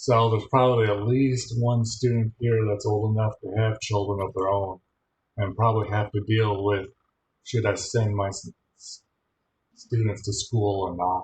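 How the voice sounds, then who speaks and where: A man with an American accent speaks at a fairly low pitch. His voice is somewhat breathy, with monotone, flat intonation. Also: moderate pace. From Michigan. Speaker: college instructor. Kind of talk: online class lecture.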